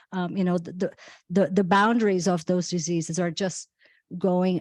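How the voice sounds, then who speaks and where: Heard dry and close with no echo, the speaker talks in a Brazilian accent with monotone, flat intonation. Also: woman, very clean recording, silent background. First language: Portuguese. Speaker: physician. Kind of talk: panel discussion. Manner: halting, many repetitions.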